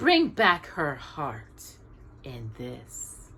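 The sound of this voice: A put-on character voice moves at a very slow pace. Its tone is fairly bright, with very wide pitch swings. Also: woman, extremely low pitch for a woman.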